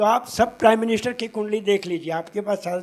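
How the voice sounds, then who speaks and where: The man's voice is high in pitch, with ordinary pitch variation. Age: 80s+. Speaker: astrologer. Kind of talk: conference talk.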